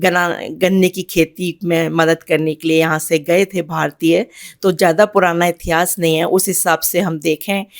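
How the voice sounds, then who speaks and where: A woman is speaking. Her voice is fairly low in pitch. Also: dry, close sound with no echo. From India, Uttar Pradesh. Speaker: writer and finance officer. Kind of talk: interview. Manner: halting.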